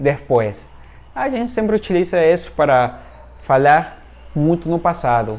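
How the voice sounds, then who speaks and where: A man's voice in a Spanish accent, with very wide swings in pitch. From Venezuela. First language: Spanish (speaking Portuguese). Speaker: Spanish teacher. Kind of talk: online language lesson.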